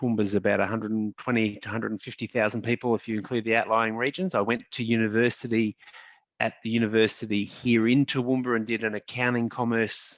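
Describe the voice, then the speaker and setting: A man with an Australian accent, medium pitch, monotone, flat intonation and a very fast pace, in a dry, close sound with no echo. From Australia, regional Queensland. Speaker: lawyer, law firm founder. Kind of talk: panel discussion.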